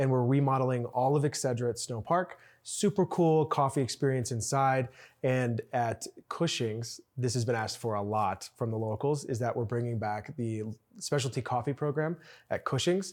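In a very clean recording with a silent background, a man with an American accent and an unremarkable speaking voice talks at a moderate pace, medium in pitch with ordinary pitch variation. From Chicago, US Midwest. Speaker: resort food and beverage executive. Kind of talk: casual interview.

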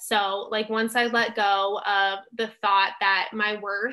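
With an American accent, a woman speaks at a fairly slow pace in a monotone, flat intonation, her fairly high-pitched voice bright and sharp against a quiet background. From Southern California. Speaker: nutrition graduate, dietetic intern, social media creator. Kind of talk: interview, personal testimony.

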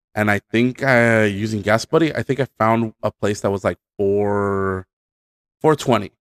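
A man speaks at a moderate pace in an unremarkable speaking voice, medium in pitch, with dry, close sound, no echo and a very clean recording over a silent background. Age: 30s. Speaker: podcast co-host. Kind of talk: casual chat.

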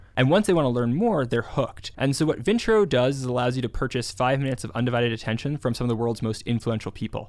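Very clean recording, silent background. The speaker talks at a very fast pace with an American accent. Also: man, medium pitch for a man, ordinary pitch variation. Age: 20s. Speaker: startup founder and strategy executive. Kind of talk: interview.

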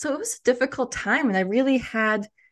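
A high-pitched woman with an American accent at a moderate pace, with ordinary pitch variation. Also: quiet background. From US. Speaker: cultural intelligence coach and author. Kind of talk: interview conversation. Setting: podcast interview.

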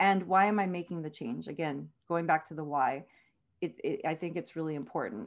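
A woman uses a normal speaking voice, fairly low in pitch with ordinary pitch variation and an American accent. She speaks at a fairly quick pace over a quiet background. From South Texas. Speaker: author. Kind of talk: interview.

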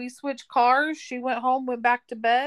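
Here a woman speaks at a high pitch on a very clean recording with a silent background. The sound is dry and close, with no echo. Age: 40s. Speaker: podcast co-host. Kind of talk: casual chat.

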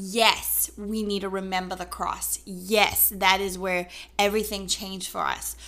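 A woman's medium-pitched voice with a bright, sharp tone, monotone, flat intonation, a fairly slow pace and a South African accent. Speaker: podcast co-host. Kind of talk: faith-based casual discussion.

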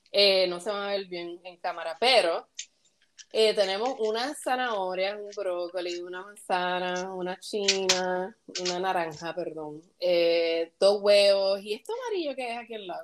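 A woman with a Puerto Rican accent speaks at a medium pitch and a fairly slow pace. Her loudness swings widely, while her pitch varies in an ordinary way. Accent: Puerto Rican, particular and pleasant. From Puerto Rico. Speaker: podcast co-host. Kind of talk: casual chat.

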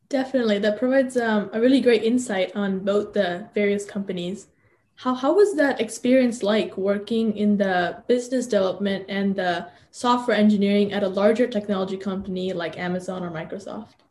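A woman talks at a fairly quick pace, her voice somewhat breathy. Her pitch sits in the middle range and varies in an ordinary way. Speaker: podcast host. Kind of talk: interview.

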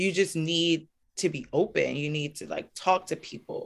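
This woman speaks slowly, at a fairly slow pace, in a New York accent with a fairly low pitch. Her pitch varies in an ordinary way, and the recording is very clean with a silent background. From US, Brooklyn, New York. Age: 30s. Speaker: local elected official. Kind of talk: interview.

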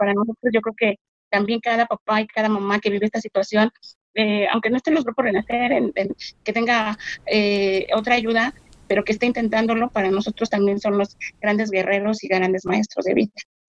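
A woman's fairly high voice in a Mexico City accent, at a fairly quick pace with fairly even intonation, in a dry, close sound with no echo. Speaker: bereaved mother. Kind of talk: testimony.

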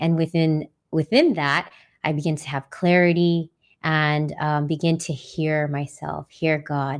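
Her pitch very deep and low, a woman speaks at a fairly slow pace with flat, monotone intonation. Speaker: sound healer and nurse. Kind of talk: casual interview chat.

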